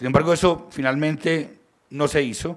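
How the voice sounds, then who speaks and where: The setting is quiet in the background. A man speaks at a moderate speed, his intonation fairly even. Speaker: university radio director; panelist. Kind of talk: presentation. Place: hall. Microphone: podium.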